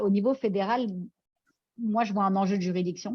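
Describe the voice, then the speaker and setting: A woman's medium-pitched voice with a dark, mellow tone, moderate pace and fairly even intonation over a quiet background. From France. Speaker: law lecturer on crypto regulation. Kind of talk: academic conference Q&A. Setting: remote video presentation. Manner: hesitant, many fillers.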